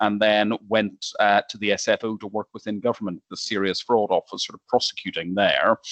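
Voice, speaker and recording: A man in an Irish accent speaks at a fairly low pitch, the sound dry and close with no echo and the background quiet. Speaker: lawyer. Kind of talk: panel discussion. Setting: video call. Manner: hesitant, with fillers.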